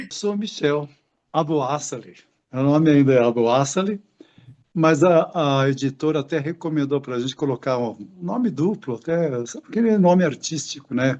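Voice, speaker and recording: Using an unremarkable speaking voice, a man talks at a moderate pace with fairly high pitch and lively intonation. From Brazil, interior of São Paulo state (Assis). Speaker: retired educator and author. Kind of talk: interview.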